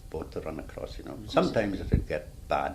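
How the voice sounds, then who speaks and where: A man with a South Wales accent speaks at a fairly quick pace amid noticeable background noise. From Swansea, Wales. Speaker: retired ferryman. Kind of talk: oral history interview answer.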